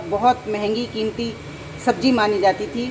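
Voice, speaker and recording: Noticeable background noise can be heard while a woman is talking. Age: 60s. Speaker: cooking channel host. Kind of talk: cooking tutorial. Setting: home kitchen. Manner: conversational, chatty.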